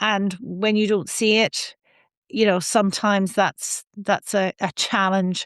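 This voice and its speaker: Against a quiet background, a woman with an Irish accent speaks at a very slow pace and medium pitch with fairly even intonation, the sound dry and close with no echo. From Ireland, Donegal island. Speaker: sustainability scientist. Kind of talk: interview conversation.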